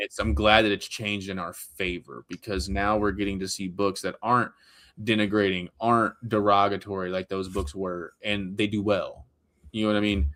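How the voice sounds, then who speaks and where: A man speaks at a moderate pace in a fairly low pitch, with fairly even intonation. His tone is bright and sharp, on a very clean recording with a silent background. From Louisiana (Woodworth, near Alexandria). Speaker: comic book writer and creator. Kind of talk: casual chat. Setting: live stream.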